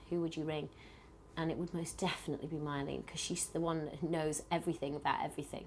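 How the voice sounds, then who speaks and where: A woman speaks with a British accent. Her pitch is very deep and low. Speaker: pop group member. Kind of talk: interview. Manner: loud; blunt.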